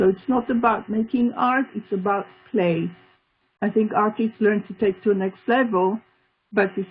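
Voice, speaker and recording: A woman's fairly high voice with a non-native accent, fairly even intonation and a moderate pace. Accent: foreign. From Israel, Tel Aviv. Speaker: art therapist and artist. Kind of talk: interview.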